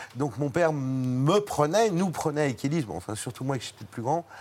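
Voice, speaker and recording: A man with an ordinary speaking voice and fairly high pitch talks at a moderate pace with lively intonation. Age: 60s. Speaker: actor and cook. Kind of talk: TV talk show chat.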